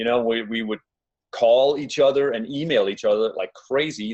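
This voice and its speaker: Speaking at a moderate pace, a man talks in a Danish accent. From Denmark. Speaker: relationship coach. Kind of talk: webinar presentation. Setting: living room, online webinar.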